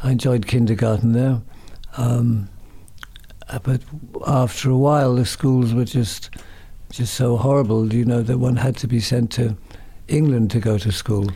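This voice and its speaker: Through noticeable background noise, a man speaks at a moderate pace and medium pitch, his intonation fairly even, his loudness very even, with long, frequent pauses. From Ireland, Dublin. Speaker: DJ, music publicist and musician. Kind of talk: interview.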